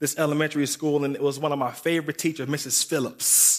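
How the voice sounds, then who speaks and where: With an American accent, a man talks at a moderate pace and a fairly high pitch in a plain, everyday voice, on a very clean recording with a silent background. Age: 30s. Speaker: guest preacher. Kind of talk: sermon. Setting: church service.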